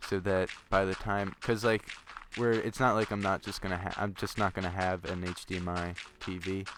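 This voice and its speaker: A man with a very deep, low pitch talks at a moderate pace, his pitch varying in an ordinary way. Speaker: gaming video creator. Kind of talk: casual chat. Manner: slurs some words; hesitant, many fillers.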